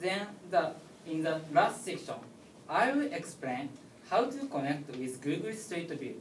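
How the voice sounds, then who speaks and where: With a Japanese accent, a man speaks at a fairly slow pace with fairly high pitch, very wide pitch swings and long, frequent pauses. Audible room echo and noticeable background noise come through. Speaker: tech speaker. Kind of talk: lecture. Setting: stage with audience. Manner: halting.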